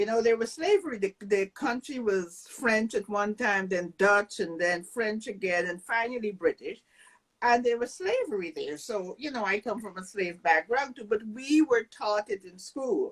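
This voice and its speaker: This voice has lively intonation and a Guyanese accent, with big swings in loudness. The sound is dry and close, without echo. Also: woman, fairly high pitch for a woman, moderate pace. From Guyana. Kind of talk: panel discussion.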